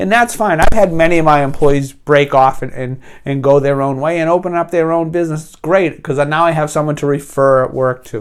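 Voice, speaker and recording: Speaking with a New England accent, a man talks at a moderate pace and a fairly high pitch with ordinary pitch variation. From New England, US. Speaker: business coach and painting contractor. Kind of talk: tutorial. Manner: casual, hesitant with many fillers.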